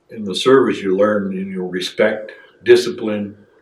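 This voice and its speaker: With an American accent, a man talks at a fairly slow pace in a fairly low pitch, his intonation fairly even, and audible room echo surrounds him. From northern Wisconsin. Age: 60s. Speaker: military veteran. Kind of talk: oral history interview. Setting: veterans center. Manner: halting, many fillers.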